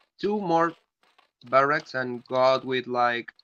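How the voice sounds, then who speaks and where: A man with a medium pitch speaks at a fairly slow pace. His tone is bright and sharp, and the sound is dry and close with no echo. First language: Spanish. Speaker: StarCraft game caster. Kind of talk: live commentary.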